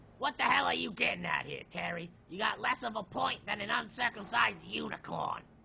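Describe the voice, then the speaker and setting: A raspy, put-on character voice from a man, at a fairly quick pace. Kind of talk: audio drama. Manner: brusque, impatient.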